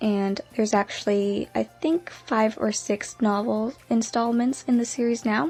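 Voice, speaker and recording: Ordinary pitch variation at a moderate pace, set against noticeable background noise. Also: woman. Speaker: aspiring actor. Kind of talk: personal life story told to camera.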